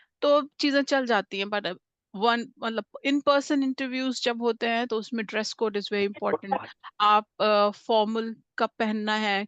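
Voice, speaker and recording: With fairly even intonation, a woman is heard in a dry, close recording with no echo and a quiet background. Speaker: communication skills trainer. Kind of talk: interview-style workshop talk. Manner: frequent hesitations, Hindi-English mixing.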